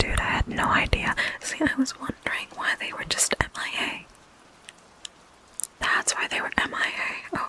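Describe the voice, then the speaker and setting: Someone whispers at a moderate pace with long, frequent pauses. Background noise is noticeable. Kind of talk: ASMR comfort call roleplay, casual chatty talk to the listener. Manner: soft-spoken, intimate, friendly.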